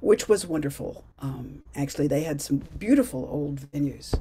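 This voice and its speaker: A somewhat breathy woman's voice, very deep and low in pitch, at a fairly slow pace. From US Midwest (Cleveland, Ohio). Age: 70s. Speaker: early music performer. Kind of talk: casual talk to a community group. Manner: halting, many fillers.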